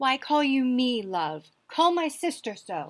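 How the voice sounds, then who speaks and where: In a put-on character voice, a woman speaks at a high pitch and a fairly slow pace with very wide pitch swings, on a very clean recording with a silent background. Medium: stage play.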